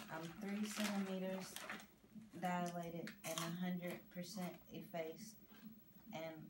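Through loud background noise, a woman speaks with long, frequent pauses. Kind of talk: casual vlog chat.

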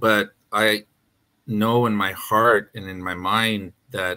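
A man's voice sits at a fairly low pitch, with a bright, sharp tone and monotone, flat intonation. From northern Manitoba, Canada (Cree First Nation). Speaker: panelist. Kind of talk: online panel discussion. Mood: earnest, reflective. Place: home room.

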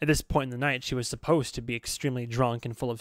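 An unforced reading voice, intonation fairly even throughout

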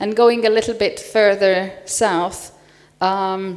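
With a Hungarian accent, a woman speaks at a very slow pace. Her intonation is fairly even. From Hungary. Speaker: panel moderator, assistant professor. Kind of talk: conference panel moderation. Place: hall. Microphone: handheld.

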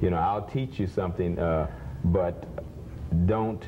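This man has a very deep, low voice and ordinary pitch variation. He talks at a fairly slow pace over light background noise. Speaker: interviewed martial arts teacher. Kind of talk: interview answer. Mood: friendly, reminiscing. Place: studio. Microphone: lapel.

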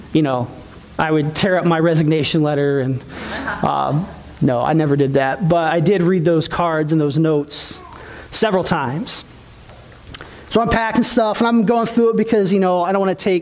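A man at a moderate pace, with lively intonation and long, frequent pauses. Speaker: pastor. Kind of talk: sermon. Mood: emotional, reflective farewell. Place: church. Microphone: headset.

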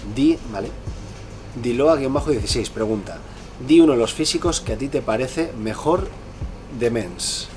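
Over faint music, a man of medium pitch speaks at a moderate pace, with ordinary pitch variation and long, frequent pauses. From Spain, Bilbao (Basque Country); Basque Country, Spain. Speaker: fitness youtuber and professional bodybuilder; fitness youtuber. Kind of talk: casual Q&A vlog. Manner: casual, filler-heavy (¿vale?, eh). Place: home room.

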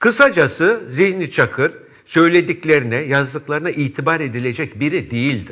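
A man with a bright, sharp tone speaks against a quiet background. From Istanbul, Turkey; Turkey. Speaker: TV news commentator. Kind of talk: press review and commentary. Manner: formal. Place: studio. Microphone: lapel.

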